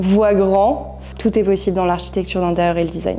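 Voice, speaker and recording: Talking at a moderate pace, a woman with a medium pitch is heard with audible room echo. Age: 20s. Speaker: interior design student. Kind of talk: testimonial interview.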